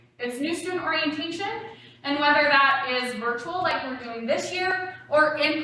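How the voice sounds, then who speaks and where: This woman projects a raised voice at a high pitch with ordinary pitch variation. She keeps a moderate pace, and audible room echo is present. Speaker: university academic support director. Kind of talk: presentation to prospective students. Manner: loud; animated.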